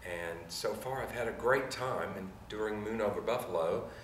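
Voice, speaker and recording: Fairly slow and fairly even in intonation, the speech comes with audible room echo. Noticeable background noise runs underneath. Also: man. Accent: Memphis. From US South, Memphis, Tennessee. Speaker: stage actor. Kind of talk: interview.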